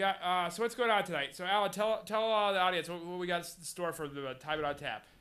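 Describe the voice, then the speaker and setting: A man talks very fast in a high, bright and sharp voice. His pitch varies in an ordinary way over a quiet background. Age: 20s. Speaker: talk show host. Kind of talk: casual chat. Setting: studio. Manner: halting.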